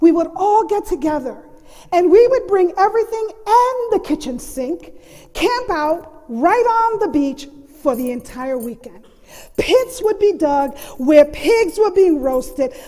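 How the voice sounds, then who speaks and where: Extremely high in pitch yet dark and mellow in tone, a woman speaks at a fairly slow pace with very wide pitch swings. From US mainland and Puerto Rico. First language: Spanish. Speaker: storyteller, college faculty member. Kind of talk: storytelling performance.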